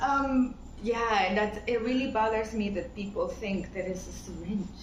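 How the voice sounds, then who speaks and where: A woman with a Latin American accent speaks at a fairly high pitch with fairly even intonation. Audible room echo and noticeable background noise are present. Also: moderate pace. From Ecuador, Pacific coast (Guayaquil). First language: Spanish. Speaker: interviewee. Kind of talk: casual interview chat.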